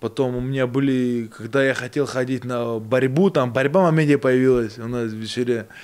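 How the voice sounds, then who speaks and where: A man at medium pitch with fairly even intonation, a moderate pace and hardly any pauses. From Buryatia, Russia (born in Georgia). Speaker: boxer; guest. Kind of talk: casual chat. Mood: relaxed storytelling. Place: studio. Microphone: studio mic.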